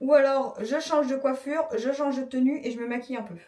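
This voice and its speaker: This woman has a high-pitched voice. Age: 30s. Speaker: vlogger. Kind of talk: casual vlog talk to camera.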